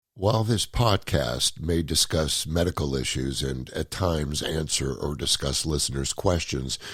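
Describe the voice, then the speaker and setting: On a very clean recording with a silent background, a man speaks at a moderate pace with a very deep, low pitch and vocal fry. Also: lively intonation. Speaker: podcast host; comedian. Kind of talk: podcast disclaimer read.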